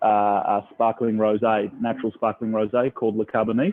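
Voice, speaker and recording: A man talks with an Australian accent. His voice is fairly low and his pace fairly quick. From Australia, Melbourne. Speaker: restaurant owner. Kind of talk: casual interview. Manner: halting.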